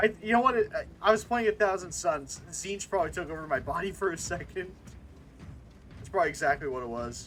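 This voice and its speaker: Animated and fairly quick, a man speaks in a high voice with lively intonation and big swings in loudness. Music plays in the background. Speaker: VTuber streamer. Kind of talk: casual gaming stream chat. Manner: stammering.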